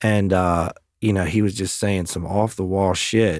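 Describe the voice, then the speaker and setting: An American-accented man with an ordinary speaking voice, fairly low pitch, fairly even intonation and a moderate pace, recorded dry and close with no echo, very clean with a silent background. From Maryland, US. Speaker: podcast host and real estate team leader. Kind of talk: casual chat.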